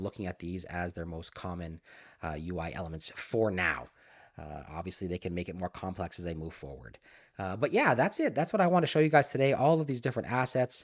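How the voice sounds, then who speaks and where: A very fast pace with lively intonation and big swings in loudness. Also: man, very deep, low pitch for a man. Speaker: college instructor. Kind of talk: tutorial.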